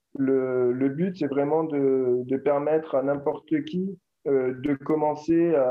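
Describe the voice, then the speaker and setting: Fairly even intonation marks this man's fairly high voice. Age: 40s. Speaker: entrepreneur. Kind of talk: interview. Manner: halting.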